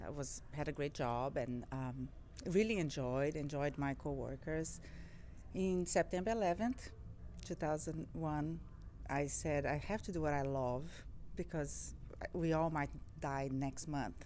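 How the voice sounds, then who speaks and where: A woman with a Portuguese accent speaks at a moderate pace, with long, frequent pauses. Her voice is very deep and low, with vocal fry. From Brazil. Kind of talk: interview. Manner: halting, with fillers and repeats.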